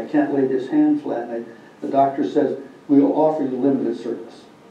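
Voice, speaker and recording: Speaking at a moderate pace with an Upper Midwest accent, a man is heard through audible room echo and noticeable background noise. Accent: Upper Midwest American. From Minnesota. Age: 80s+. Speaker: war veteran. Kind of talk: speaking to a school class.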